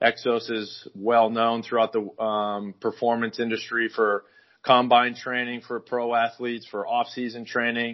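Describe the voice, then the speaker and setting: The speaker uses an American accent, a fairly slow pace, and monotone, flat intonation. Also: man, medium pitch for a man. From US Midwest, northwest Iowa. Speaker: strength and conditioning coach, former college football player. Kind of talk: interview.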